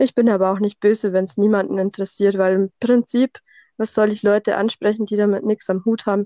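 A woman with a Bavarian accent talks at a fairly quick pace and a medium pitch, in a monotone, flat intonation. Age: 30s. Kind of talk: casual interview. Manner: tries to avoid monotone.

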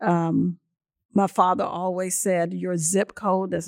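Fairly low in pitch, a woman speaks very slowly with fairly even intonation, the sound dry and close with no echo on a very clean recording with a silent background. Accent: South Carolina. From US South, Lake City, South Carolina. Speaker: school superintendent. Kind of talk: interview. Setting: on site at education center.

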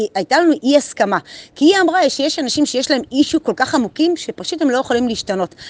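A woman speaks with a high pitch and very wide pitch swings. The sound is dry and close, with no echo. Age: 40s. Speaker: motivational group leader. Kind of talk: daily motivational monologue. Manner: casual, animated.

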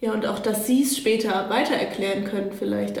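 Over noticeable background noise and audible room echo, a woman talks at a moderate pace and a medium pitch. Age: 20s. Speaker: youth camp leader. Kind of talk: casual discussion. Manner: hesitant.

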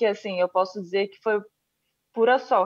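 A woman with a Rio de Janeiro accent, a fairly high pitch and fairly even intonation. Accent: Brazilian Portuguese, Rio (carioca). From Brazil, Rio de Janeiro. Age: 30s. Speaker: Olympic judoka. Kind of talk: interview.

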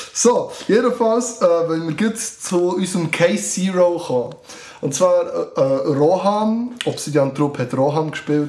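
Against noticeable background noise, a man with a high pitch speaks at a very slow pace. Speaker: scout leader. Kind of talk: casual chat. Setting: studio.

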